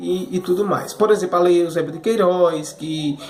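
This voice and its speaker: Pitched high, a man talks at a moderate pace with ordinary pitch variation, with audible room echo and noticeable background noise. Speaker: history teacher. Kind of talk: remote class lecture review. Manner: repetitive fillers, stammering repeats.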